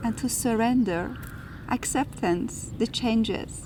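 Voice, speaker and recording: A high-pitched woman with an Iranian accent and lively intonation. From Iran and France. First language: Farsi. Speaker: spiritual video host. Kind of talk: reflective spiritual talk.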